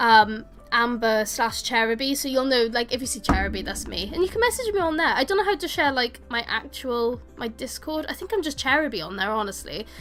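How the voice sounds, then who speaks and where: A woman speaks fairly quickly at a high pitch with lively intonation and hardly any pauses. Noticeable background noise runs underneath. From Wales. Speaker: gaming streamer. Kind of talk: casual chat with live chat viewers. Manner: chatty, informal.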